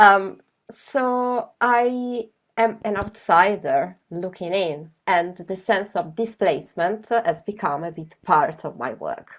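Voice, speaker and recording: Speaking very slowly, a woman with an Italian accent uses lively intonation and big swings in loudness. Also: medium pitch for a woman. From Italy. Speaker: graphic novelist. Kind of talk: presentation. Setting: video call.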